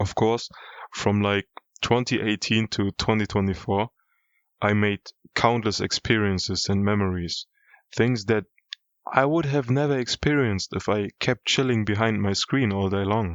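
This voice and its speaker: Speaking with a non-native accent, a man with a fairly low pitch and ordinary pitch variation talks at a moderate pace, leaving long, frequent pauses. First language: not English. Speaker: YouTuber. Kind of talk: personal vlog monologue. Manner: casual.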